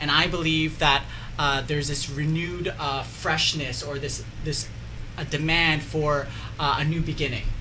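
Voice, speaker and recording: A man with a Canadian accent talks at a moderate pace. Audible room echo and noticeable background noise fill the recording. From Canada, Mississauga. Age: young. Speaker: political candidate. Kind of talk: radio interview, campaign pitch.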